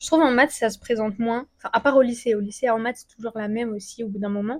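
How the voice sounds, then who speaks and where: A woman talks at a fairly quick pace, her fairly high pitch held in a fairly even intonation. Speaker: student youtuber giving study tips. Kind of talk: casual vlog advice. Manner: fast; casual with many fillers.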